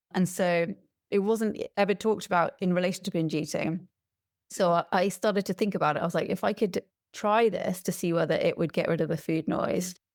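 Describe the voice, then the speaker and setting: In an English accent, a woman of medium pitch talks at a fairly quick pace with fairly even intonation on a very clean recording with a silent background. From England. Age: 40s. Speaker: podcast guest sharing personal experience. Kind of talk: interview testimony.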